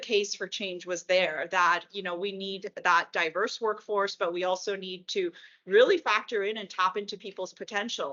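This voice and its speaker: This woman has a Spanish accent and a medium-pitched voice. She talks at a moderate pace. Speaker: HR executive. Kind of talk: panel discussion.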